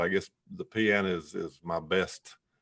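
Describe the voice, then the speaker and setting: The voice carries a North Carolina accent with ordinary pitch variation. The background is quiet. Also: man. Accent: Southern US, North Carolina. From US South, western North Carolina mountains. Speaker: entrepreneur and author. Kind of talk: interview conversation. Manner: hesitant, many fillers.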